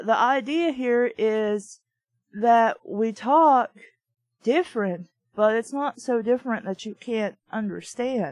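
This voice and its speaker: A woman with a Southern US accent drawls at a very slow pace. Her high voice carries a relaxed tone. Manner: relaxed drawl, dropping the G.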